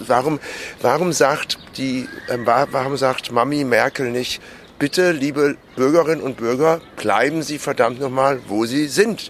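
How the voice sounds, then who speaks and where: Against noticeable background noise, a man speaks at a fairly slow pace and a medium pitch with ordinary pitch variation. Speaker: podcast co-host. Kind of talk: casual chat. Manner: loud.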